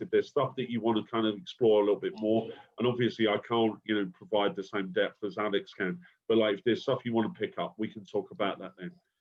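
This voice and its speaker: A man's medium-pitched voice moves at a very fast pace with lively intonation. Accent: London. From London. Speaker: university lecturer. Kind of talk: recorded lecture conversation. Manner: hesitant, many fillers.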